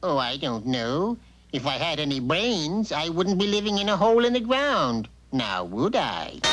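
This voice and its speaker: Pitched in the middle, this cartoonish character voice has very wide pitch swings. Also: moderate pace. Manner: folksy, laconic.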